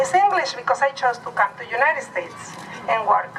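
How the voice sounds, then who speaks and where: Raised, projected female voice, high-pitched, with lively intonation at a moderate pace, over noticeable background noise. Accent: Mexican. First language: Nahuatl. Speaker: rally speaker. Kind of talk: speech at a rally.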